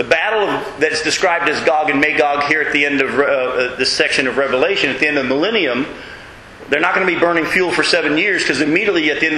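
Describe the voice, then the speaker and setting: Through noticeable background noise and audible room echo, a man talks at a very fast pace with ordinary pitch variation. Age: 40s. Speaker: Bible study teacher. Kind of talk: Bible study lecture. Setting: room with live group, streamed on web.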